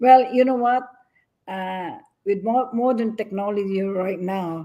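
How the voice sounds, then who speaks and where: Speaking at a fairly slow pace, a woman uses a medium pitch and a dark, mellow tone, with ordinary pitch variation and big swings in loudness. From Philippines. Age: 70s. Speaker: businesswoman, community leader. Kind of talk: interview. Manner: energetic.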